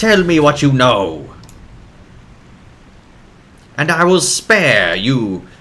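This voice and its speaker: Gruff put-on character voice from a man at medium pitch. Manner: threatening, demanding.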